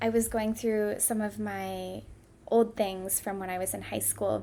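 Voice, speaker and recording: At a fairly slow pace, a woman talks with a Midwestern American accent. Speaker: podcast host. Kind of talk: solo podcast talk.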